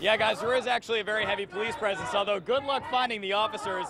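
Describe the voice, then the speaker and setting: This is a man speaking. Noticeable background noise is present. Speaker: TV news reporter and anchor. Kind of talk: TV news report.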